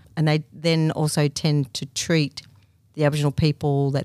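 With an Australian accent, a woman speaks at a very deep, low pitch in a dark, mellow tone. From country Victoria, Australia. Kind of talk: interview.

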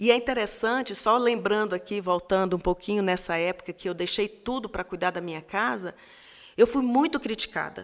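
This woman has an unremarkable speaking voice, medium pitch with ordinary variation, and a fairly quick pace. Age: 50s. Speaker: pastor's wife. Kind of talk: casual chat.

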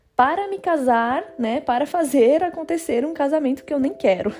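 Her voice high in pitch, a woman talks at a moderate pace with lively intonation. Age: 20s. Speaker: podcast host. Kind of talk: solo podcast monologue. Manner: casual, conversational.

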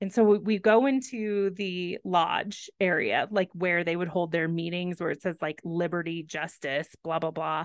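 A woman with an American accent and a normal speaking voice talks at a moderate pace and fairly low pitch, with ordinary pitch variation and hardly any pauses. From Texas. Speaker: podcast co-host. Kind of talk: casual chat.

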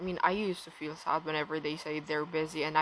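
Speaking with a non-native accent, a woman uses a very deep, low pitch and a flat, monotone intonation. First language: not English. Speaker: podcast host. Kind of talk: casual solo rant/vlog-style monologue. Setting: recorded at home downstairs, dog barking. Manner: casual, chatty, laughs often.

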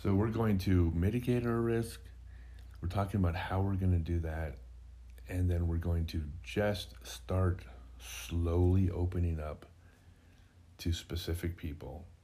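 A man with a very deep, low pitch and a dark, mellow tone speaks with lively intonation, somewhat breathy, with long, frequent pauses and audible room echo. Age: 50s. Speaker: podcast co-host. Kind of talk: casual chat.

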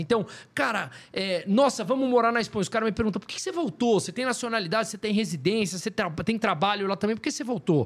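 Over a silent background in a very clean recording, a man talks at a very fast pace with lively intonation. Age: 40s. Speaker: economist. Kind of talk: casual chat.

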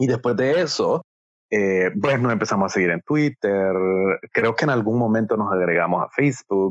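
With a plain, everyday voice, a man talks at medium pitch and a moderate pace, with lively intonation and very even loudness. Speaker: podcast co-host, marketing consultant. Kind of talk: casual conversational storytelling.

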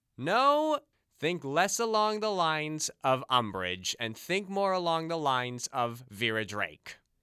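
On a very clean recording with a silent background, a bright, sharp voice swings very widely in pitch at a fairly slow pace. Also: man, fairly high pitch for a man. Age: 20s. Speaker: podcast host. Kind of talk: solo podcast commentary. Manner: reading aloud from a novel.

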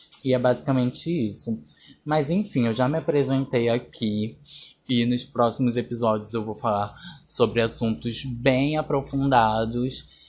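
Against a quiet background, a man speaks fairly slowly. His pitch is medium with ordinary variation. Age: 20s. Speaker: podcast host and makeup artist. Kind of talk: casual solo podcast monologue.

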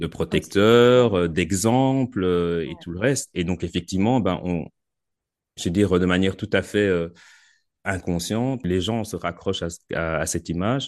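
A man speaks with a very deep, low pitch. His pace is fairly slow, and his pitch varies in an ordinary way. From Belgium. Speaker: military communications officer and life coach. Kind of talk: casual interview. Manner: halting, many repetitions and fillers.

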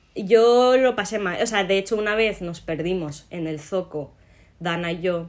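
An ordinary speaking voice from a woman, medium in pitch with ordinary pitch variation, at a fairly slow pace. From Morocco. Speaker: podcast co-host. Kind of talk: casual chat.

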